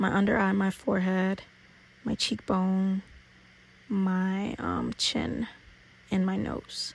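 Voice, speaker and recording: Very slowly and with long, frequent pauses, a woman speaks in a playful tone at a medium pitch, somewhat breathy, with monotone, flat intonation and very even loudness. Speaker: beauty YouTuber. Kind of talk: makeup tutorial. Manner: casual, playful.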